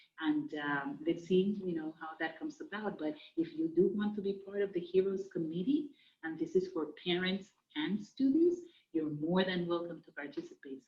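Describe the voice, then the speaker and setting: A woman speaks with a Spanish accent and lively intonation. Her voice is somewhat breathy. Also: big swings in loudness. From Dominican Republic, raised largely in the US. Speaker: Spanish teacher. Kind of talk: recorded class introduction. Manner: hesitant, many fillers.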